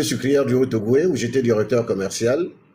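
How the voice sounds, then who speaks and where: A man is talking. His tone is dark and mellow. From Gabon. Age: 60s. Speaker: politician. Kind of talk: interview.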